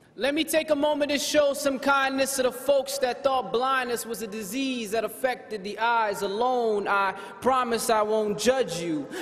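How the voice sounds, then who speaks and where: With hardly any pauses, a man speaks at an extremely high pitch with ordinary pitch variation over noticeable background noise. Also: moderate pace. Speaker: spoken word poet. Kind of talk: spoken word poetry performance.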